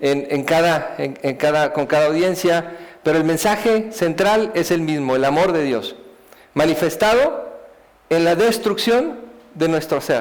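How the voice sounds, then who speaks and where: A man talks at a fairly slow pace and a high pitch. Noticeable background noise can be heard. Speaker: speaker giving a life testimony. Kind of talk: testimony talk. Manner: halting, many repetitions.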